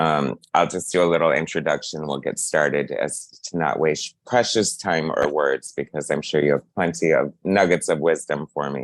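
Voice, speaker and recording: A man's very deep, low voice at a moderate pace with fairly even intonation. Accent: Midwestern US. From Ohio, US Midwest. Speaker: interviewer, channel host. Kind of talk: interview.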